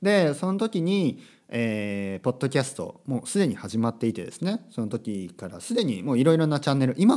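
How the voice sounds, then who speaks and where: A man speaks at a fairly quick pace in a dark, mellow tone and a medium pitch, with very wide pitch swings. The recording is very clean, with a silent background. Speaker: podcast host, language teacher. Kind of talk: casual monologue podcast.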